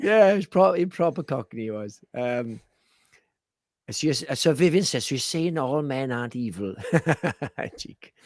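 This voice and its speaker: Speaking slowly in a Welsh accent, a man pitched fairly high makes very wide pitch swings and big swings in loudness, with long, frequent pauses. The recording is very clean with a silent background. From Wales. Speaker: horror film podcast co-host. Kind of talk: casual chat. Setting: live stream.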